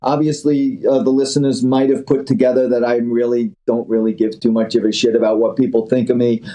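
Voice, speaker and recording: Speaking at a fairly quick pace with hardly any pauses, a man uses a medium-pitched voice. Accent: New York. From New York City (Queens). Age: 60s. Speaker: angel investor. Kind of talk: interview, casual chat. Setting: phone call. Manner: animated.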